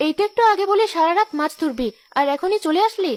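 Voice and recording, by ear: A squeaky, cartoonish character voice that sounds female rattles along at a fairly quick pace at an extremely high pitch.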